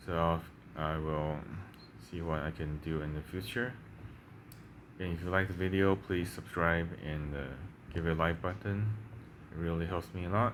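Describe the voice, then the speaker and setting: A man with a Chinese accent speaks at a moderate pace, pausing long and often. His pitch is very deep and low, with ordinary variation. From Taiwan. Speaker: language-learning YouTuber. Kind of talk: casual tutorial. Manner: halting, many fillers and repeats.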